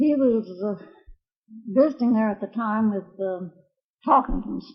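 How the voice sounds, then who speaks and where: A woman with an American accent, fairly high in pitch, somewhat breathy, at a fairly slow pace. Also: ordinary pitch variation. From Oklahoma. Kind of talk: interview answer.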